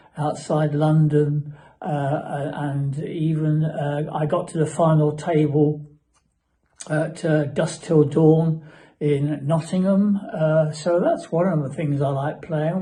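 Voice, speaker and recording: Against audible room echo, a man with a fairly high pitch speaks in a dark, mellow tone, flat and monotone, at a very slow pace. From southern England, Surrey. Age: 70s. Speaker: bird breeder. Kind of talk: interview. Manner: halting, many fillers and repeats.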